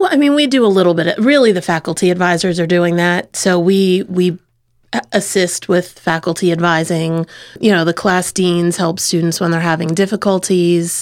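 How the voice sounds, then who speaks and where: A woman with an American accent, fairly low in pitch, in an ordinary speaking voice with ordinary pitch variation, very even loudness and a moderate pace, in a very clean recording with a silent background. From Easton, Pennsylvania area, US. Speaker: college dean. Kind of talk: casual chat. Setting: studio.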